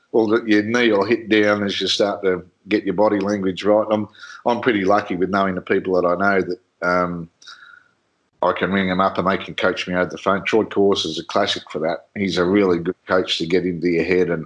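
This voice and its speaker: Against a quiet background, a man with an Australian accent talks fairly quickly in a very deep, low, monotone, flat voice. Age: 60s. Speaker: motorsport commentator. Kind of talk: casual interview chat.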